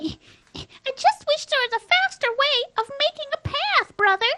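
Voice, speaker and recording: A squeaky, female-sounding put-on character voice at an extremely high pitch, delivered at a moderate pace. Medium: actual play.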